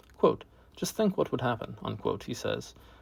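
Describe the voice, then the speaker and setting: A man speaks with vocal fry. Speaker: amateur essay reader. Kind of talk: essay reading. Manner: occasional stutters and mispronunciations.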